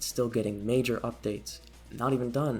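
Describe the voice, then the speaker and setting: Someone soft-spoken talks at a moderate pace with music in the background. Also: man. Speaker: gaming video essayist. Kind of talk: video essay narration.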